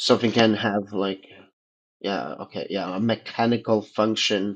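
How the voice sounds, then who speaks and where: A man with a non-native accent and fairly low pitch, at a fairly slow pace with fairly even intonation, in a quiet background. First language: not English. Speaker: participant in a religion roundtable. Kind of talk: debate, casual discussion. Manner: halting, many fillers.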